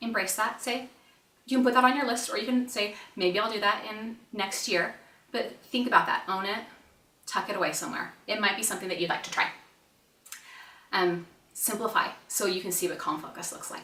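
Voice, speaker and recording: A woman's medium-pitched, animated voice at a fairly quick pace, broken by long, frequent pauses, with audible room echo and noticeable background noise. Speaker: parenting educator, mom. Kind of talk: online conference presentation. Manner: fast.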